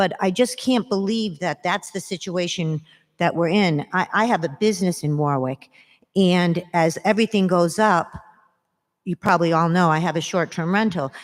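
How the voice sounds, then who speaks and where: An ordinary speaking voice with ordinary pitch variation. The pace is moderate. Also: woman, fairly low pitch for a woman. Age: 60s. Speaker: resident speaking at public comment. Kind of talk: public comment at council meeting. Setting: city council meeting.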